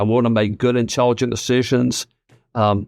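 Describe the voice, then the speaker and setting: Against a quiet background, the speech runs at a fairly quick pace with fairly even intonation. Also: man, dry, close sound with no echo. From Tennessee (Ripley, West Tennessee). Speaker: state official, politician. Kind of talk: casual chat.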